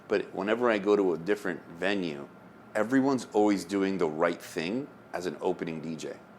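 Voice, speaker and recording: A man with an American accent speaks at a fairly quick pace in a plain, everyday voice, his fairly low pitch moving with ordinary variation. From US South. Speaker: DJ and podcast host. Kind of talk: casual chat.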